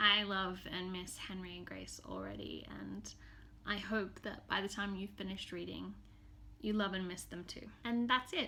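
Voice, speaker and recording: Audible room echo surrounds a woman with an Australian accent who speaks at a moderate pace with big swings in loudness. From Australia, Townsville, Queensland. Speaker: novelist. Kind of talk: scripted self-introduction to camera.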